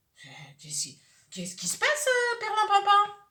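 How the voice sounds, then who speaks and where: Using a put-on character voice, a woman speaks at an extremely high pitch and a fairly quick pace. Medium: read story. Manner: hesitant, stammering.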